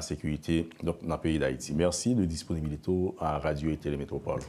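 A man speaks in a very deep, low voice with a dark, mellow tone and fairly even intonation over light background noise. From Haiti. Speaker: radio and TV news host; TV show host. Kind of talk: interview. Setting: studio. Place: studio. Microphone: lapel.

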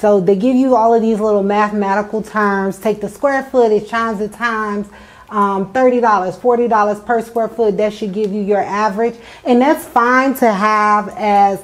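A woman at a moderate pace with fairly even intonation. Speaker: real estate investor host. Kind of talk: tutorial. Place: empty room. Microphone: lapel.

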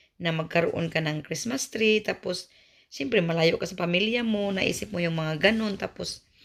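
On a very clean recording with a silent background, a woman has a normal speaking voice at medium pitch, moving at a moderate pace with lively intonation. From Visayas, Philippines. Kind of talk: casual vlog talk to camera.

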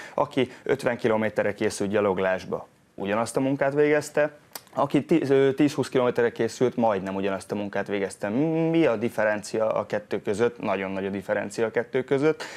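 Here a man speaks at a fairly quick pace, with ordinary pitch variation. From Hungary. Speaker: strength and conditioning coach; fitness coach guest. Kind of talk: TV interview. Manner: halting. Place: studio. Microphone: lapel.

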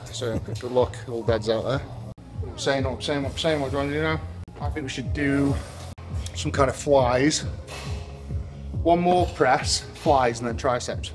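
With clear music playing behind him, a man speaks at a fairly slow pace and leaves long, frequent pauses. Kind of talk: casual vlog chat. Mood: playful teasing banter. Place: gym. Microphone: camera far.

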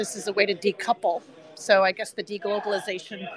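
A woman speaks at a fairly quick pace with a medium pitch. Crowd noise can be heard in the background. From France. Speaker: meetup attendee. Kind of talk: casual interview at meetup. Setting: live event crowd, meetup venue.

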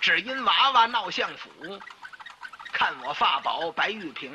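Noticeable background noise sits behind a man's voice. He speaks very slowly at a high pitch. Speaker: crosstalk performer. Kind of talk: solo comic storytelling.

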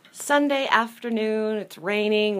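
A woman speaks fairly slowly, showing ordinary pitch variation. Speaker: DIY blogger. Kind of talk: casual talk to camera. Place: garden. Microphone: phone near.

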